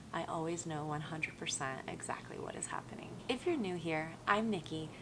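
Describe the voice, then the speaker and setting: With an American accent, a woman speaks at a moderate pace in a very deep, low pitch with ordinary variation, amid noticeable background noise and audible room echo. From Colorado, US. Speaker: travel vlogger. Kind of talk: casual vlog talk to camera.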